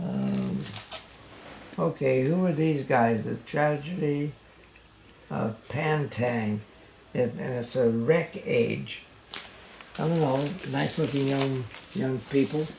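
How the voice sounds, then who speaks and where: Over noticeable background noise, a man at a medium pitch with ordinary pitch variation speaks at a very slow pace with long, frequent pauses. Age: 80s+. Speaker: father of a late rock musician. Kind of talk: casual talk to camera. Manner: hesitant, halting; humorous.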